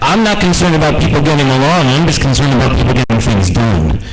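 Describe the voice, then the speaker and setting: A man speaks with an American accent. There is noticeable background noise and audible room echo. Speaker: radio host. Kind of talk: impromptu speech. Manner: loud.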